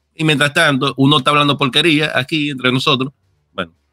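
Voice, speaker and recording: Recorded dry and close with no echo, a man speaks in a bright, sharp tone. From outside Dominican Republic. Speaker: gaming content creator. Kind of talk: casual chat.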